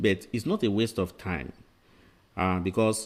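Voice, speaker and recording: A man talks at a moderate pace with ordinary pitch variation. It's an ordinary speaking voice. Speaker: medical exam tutor. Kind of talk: lecture. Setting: webinar.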